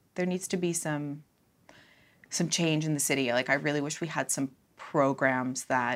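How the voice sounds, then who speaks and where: A woman's very deep, low voice with a Cape Breton accent, at a moderate pace, in a very clean recording with a silent background. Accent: Cape Breton Canadian English. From Cape Breton, Nova Scotia, Canada. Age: 30s. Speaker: social services student. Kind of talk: casual chat.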